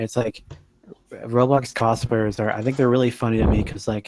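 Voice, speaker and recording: Quiet and monotone, a man speaks at a moderate pace and medium pitch with flat intonation, the sound dry and close with no echo. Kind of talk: casual chat. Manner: quiet, lowered voice.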